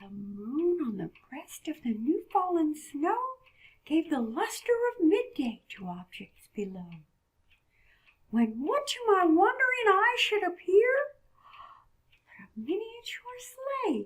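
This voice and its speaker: In a cartoonish character voice, a female-sounding speaker goes at a fairly slow pace with an extremely high pitch, very wide pitch swings, and long, frequent pauses. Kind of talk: poetry reading. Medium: puppet. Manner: warm, gentle.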